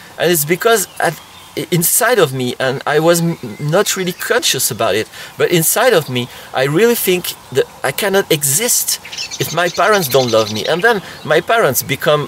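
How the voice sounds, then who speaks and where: A man's high-pitched voice with a French accent, very wide pitch swings and a moderate pace, over noticeable background noise. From France. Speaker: therapist. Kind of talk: tutorial. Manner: halting.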